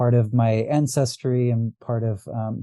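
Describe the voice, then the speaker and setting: Over a quiet background, a man with a West Coast US accent speaks at a medium pitch in a dark, mellow tone with monotone, flat intonation. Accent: General American, West Coast. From US West Coast, Los Angeles. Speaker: astrologer and diviner. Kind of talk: podcast interview. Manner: halting, many fillers and repeats.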